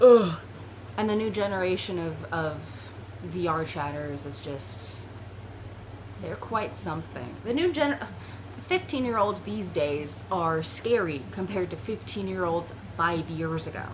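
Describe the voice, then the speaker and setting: With long, frequent pauses, a woman speaks at a fairly low pitch with very wide pitch swings, amid noticeable background noise and audible room echo. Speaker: VRChat content creator. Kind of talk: casual chat.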